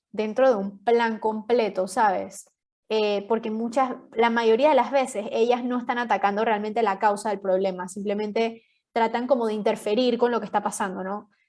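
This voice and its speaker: In an unremarkable speaking voice, a woman talks at a moderate pace with fairly even intonation. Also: fairly high pitch for a woman. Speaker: podcast guest sharing health story. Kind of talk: interview testimony. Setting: podcast.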